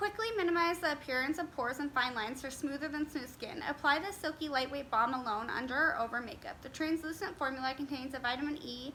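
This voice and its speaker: A woman with a high pitch and ordinary pitch variation speaks in a raised, projected voice at a very fast pace with hardly any pauses. Noticeable background noise is present. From Las Vegas, Nevada, USA. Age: 20s. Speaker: beauty YouTuber. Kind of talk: casual talk to camera, product review.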